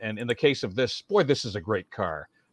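Over a quiet background, a man with a Canadian accent speaks at a moderate pace and medium pitch in an unremarkable speaking voice, the sound dry and close with no echo. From Welland, Ontario. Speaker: veteran radio broadcaster and community emcee. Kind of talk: casual interview chat.

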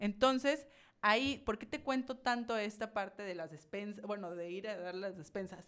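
Here a woman speaks in a plain, everyday voice at a medium pitch. Her pitch varies in an ordinary way. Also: moderate pace. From Mexico, Villahermosa, Tabasco. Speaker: charity founder and entrepreneur. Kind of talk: casual interview.

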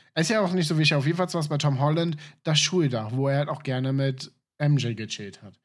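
In a very clean recording against a silent background, a man speaks with a normal speaking voice. His pitch is fairly high, with ordinary variation, and his pace is fairly quick. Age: 20s. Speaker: podcast co-host. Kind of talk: casual chat. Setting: voice chat.

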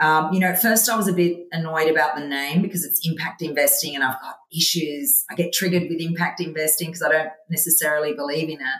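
A woman's fairly low voice in an Australian accent, very fast with hardly any pauses and ordinary pitch variation. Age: 50s. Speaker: investment firm CEO. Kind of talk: interview. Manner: animated, laughs often.

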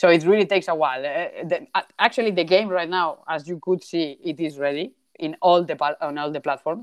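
A woman's unremarkable speaking voice, fairly low in pitch, at a fairly quick pace with ordinary pitch variation. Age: 30s. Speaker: game developer. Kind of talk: interview.

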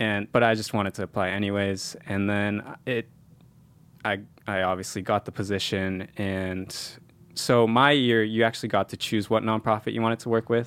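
This very clean recording with a silent background features a man with an American accent. He speaks at a moderate pace in a monotone, flat intonation. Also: fairly low pitch for a man. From San Jose, California. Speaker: recent graduate and medical school applicant. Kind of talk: casual interview.

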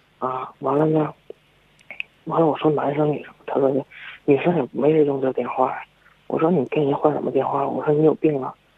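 Amid noticeable background noise, a fairly high-voiced man talks at a fairly quick pace in a monotone, flat way, with long, frequent pauses. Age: 20s. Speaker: caller, university student. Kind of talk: call-in advice chat. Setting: phone call.

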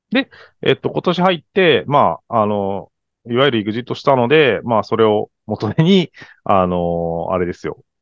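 His pitch sits in the medium range for a man, with very wide swings. The pace is moderate. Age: 40s. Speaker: angel investor, startup founder. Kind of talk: casual interview chat. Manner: halting, many fillers.

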